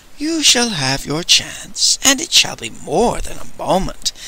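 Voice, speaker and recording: A man puts on a character voice at an extremely high pitch, talking at a fairly slow pace over light background noise. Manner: menacing, smug, silky.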